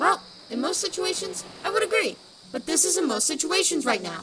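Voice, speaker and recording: A woman's put-on character voice, extremely high in pitch with very wide pitch swings, at a fairly quick pace over clear background noise. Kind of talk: audio drama dialogue. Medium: audio drama. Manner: frustrated, defensive.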